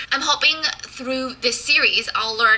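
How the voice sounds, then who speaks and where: A high-pitched woman at a moderate pace, fairly even in intonation, over noticeable background noise. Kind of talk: casual talk to camera. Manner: stutters and stumbles at times.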